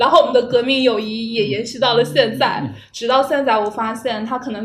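A woman with a fairly high voice speaks while noticeable background noise carries on. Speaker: podcast host. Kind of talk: casual chat. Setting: meeting room.

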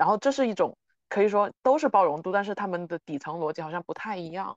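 In a Beijing accent, the speaker talks at a very fast pace. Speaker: podcast host. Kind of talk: casual chat.

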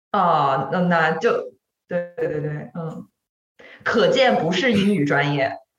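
Somewhat breathy and fairly low-pitched, a woman speaks at a fairly slow pace with lively intonation and long, frequent pauses. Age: 40s. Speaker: podcast co-host. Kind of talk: casual chat.

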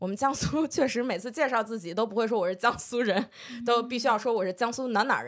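A woman with a fairly high pitch talks very fast. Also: ordinary pitch variation. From northern Jiangsu, Lianyungang. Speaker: podcast co-host. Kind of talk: casual chat.

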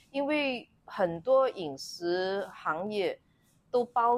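A woman's voice with very wide pitch swings. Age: 50s. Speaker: gynecologist. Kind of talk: interview conversation.

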